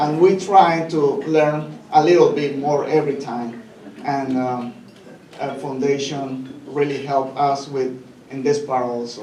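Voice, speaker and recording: A man with a Spanish accent speaks fairly slowly at a fairly high pitch, with noticeable background noise and audible room echo. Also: fairly even intonation. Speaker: senior living community employee. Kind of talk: speech at a gala. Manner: halting, many fillers.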